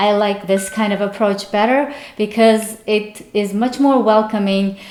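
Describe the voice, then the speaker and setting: Over noticeable background noise and audible room echo, the speech moves at a fairly slow pace with fairly even intonation. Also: woman. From Uzbekistan. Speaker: vlogger. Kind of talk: casual vlog monologue.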